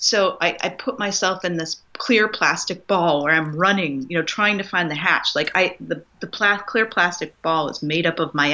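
A woman with a fairly low pitch speaks at a moderate pace in a normal speaking voice with ordinary pitch variation. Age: 40s. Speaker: nurse and wellbeing coach. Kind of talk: casual chat.

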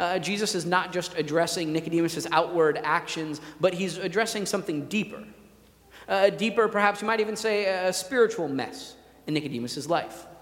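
Over noticeable background noise, a man speaks loudly and fairly quickly, his high-pitched voice showing ordinary pitch variation. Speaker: pastor. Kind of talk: sermon. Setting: church.

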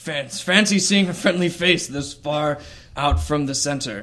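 A man does a put-on character voice, gruff and fairly high in pitch. He keeps a moderate pace. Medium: actual play. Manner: warm, hearty.

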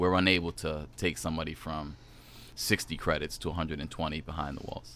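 Flat, monotone speech comes at a fairly quick pace in a very clean recording with a silent background. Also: man. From Providence, Rhode Island. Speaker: program director, formerly incarcerated. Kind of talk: radio interview. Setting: radio studio.

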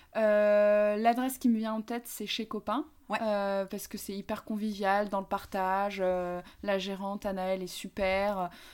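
On a very clean recording with a silent background, a woman speaks fairly slowly in a flat, monotone delivery. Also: medium pitch for a woman. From Paris, France. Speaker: coworking space founder. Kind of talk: interview. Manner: hesitant, many fillers.

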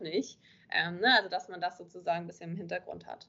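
A woman's fairly low voice at a moderate pace. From northern Germany, Kiel. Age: 20s. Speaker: social media marketing coach. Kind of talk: interview. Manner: hesitant, many filler sounds.

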